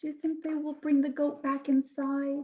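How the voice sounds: At a moderate pace, a woman speaks in a high pitch.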